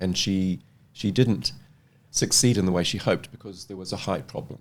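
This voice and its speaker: A man with a New Zealand accent and a fairly low pitch, at a fairly quick pace with long, frequent pauses and big swings in loudness. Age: 60s. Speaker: fashion model. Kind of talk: casual interview chat.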